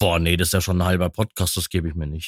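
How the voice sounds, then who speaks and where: A very clean recording with a silent background and a dry, close sound with no echo. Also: man. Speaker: content creator and streamer. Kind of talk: casual chat.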